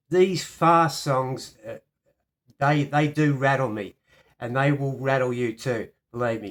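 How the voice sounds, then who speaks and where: With an Australian accent, the speaker talks at a fairly slow pace with ordinary pitch variation. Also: man, big swings in loudness. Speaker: piano teacher. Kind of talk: tutorial.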